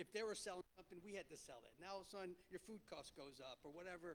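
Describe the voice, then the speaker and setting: A man speaks loud and at a very fast pace in a New Jersey accent. His pitch is high, and his intonation fairly even. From New Jersey (Clifton). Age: 50s. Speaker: restaurant entrepreneur. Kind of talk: panel talk to an audience. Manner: halting.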